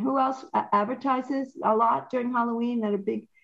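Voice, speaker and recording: The voice belongs to a woman and sits high. She keeps a moderate pace. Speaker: radio host and marketing professor. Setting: studio. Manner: tries to vary pitch, not monotone.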